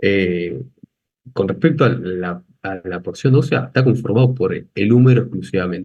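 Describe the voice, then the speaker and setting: A man speaks at a fairly low pitch with vocal fry. His pace is fairly slow and his intonation lively. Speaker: anatomy lecturer. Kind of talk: lecture.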